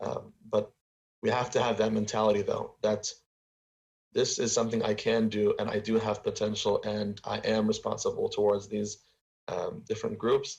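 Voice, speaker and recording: An American accent at a moderate pace. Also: man. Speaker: talk show host. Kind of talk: interview.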